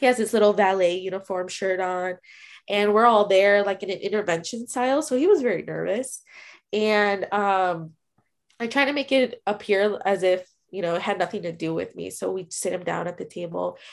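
The speaker talks with a Midwestern American accent against a quiet background. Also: woman, medium pitch for a woman, ordinary pitch variation, moderate pace. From Chicago. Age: 20s. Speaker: DACA recipient sharing story. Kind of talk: casual interview.

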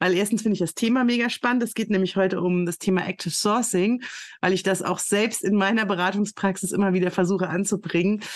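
A woman with a normal speaking voice talks at medium pitch and a fairly quick pace, with ordinary pitch variation, over a quiet background. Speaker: podcast host and recruiting consultant. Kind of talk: casual interview.

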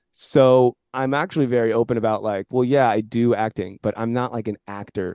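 A man's dark, mellow voice at medium pitch with a Californian accent. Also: hardly any pauses, big swings in loudness, dry, close sound with no echo, quiet background. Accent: General American (Californian). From US West Coast, San Jose, California. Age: 30s. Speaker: commercial actor and comedian. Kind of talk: casual interview chat.

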